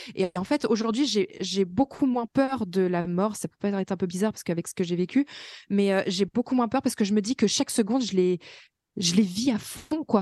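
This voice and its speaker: Against a quiet background, a woman speaks at a moderate pace and medium pitch with a dark, mellow tone and ordinary pitch variation, the sound dry and close with no echo. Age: 20s. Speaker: self-employed worker with fibromyalgia, mother. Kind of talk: interview testimony.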